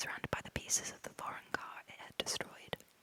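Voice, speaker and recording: A woman whispers fairly quickly, with noticeable background noise around her. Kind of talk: audiobook-style reading of a novel in first person. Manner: close-up whispered.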